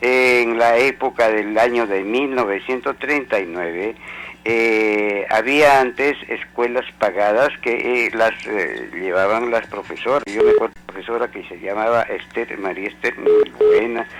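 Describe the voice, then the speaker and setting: A man speaks at a fairly slow pace and medium pitch with ordinary pitch variation and hardly any pauses, over noticeable background noise. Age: 70s. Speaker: caller, out-of-court conciliator. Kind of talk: radio call-in.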